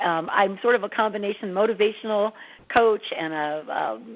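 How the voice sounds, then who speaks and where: An ordinary speaking voice in an American accent, fairly quick, with ordinary pitch variation. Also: woman. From US Midwest, Dearborn, Michigan. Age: 50s. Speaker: TV host and confidence coach. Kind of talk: interview.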